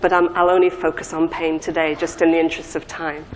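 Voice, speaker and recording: A woman with a northern English accent at a fairly quick pace. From northern England. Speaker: pharmacology professor. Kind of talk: lecture. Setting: conference stage with audience. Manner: halting, many fillers and repeats.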